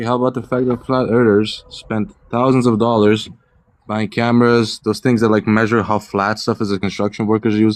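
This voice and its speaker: Delivered at a fairly quick pace with a non-native accent, the speech has a monotone, flat intonation. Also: man, medium pitch for a man. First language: not English. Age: 20s. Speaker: caller. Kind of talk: heated debate. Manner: fast.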